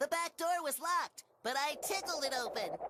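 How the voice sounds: In a cartoonish character voice with extremely high pitch, the speaker delivers a cheerful, upbeat tone at a moderate pace.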